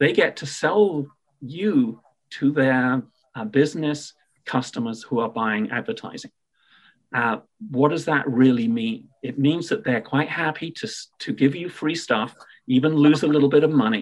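The recording is very clean, with a silent background. A man with a fairly high pitch speaks at a moderate pace with lively intonation. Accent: British. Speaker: payments tech entrepreneur. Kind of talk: podcast interview. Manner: hesitant fillers, repeats words.

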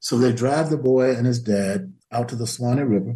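A man with an American accent talks at a fairly quick pace in a dark, mellow, somewhat breathy voice with ordinary pitch variation. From US South. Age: 80s+. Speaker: history professor emeritus and author. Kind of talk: interview.

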